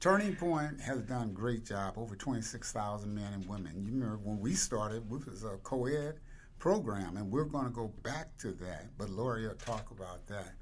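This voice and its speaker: Hardly pausing, a man speaks with lively intonation amid audible room echo. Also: medium pitch for a man, moderate pace. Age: 80s+. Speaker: nonprofit founder and CEO. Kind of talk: interview.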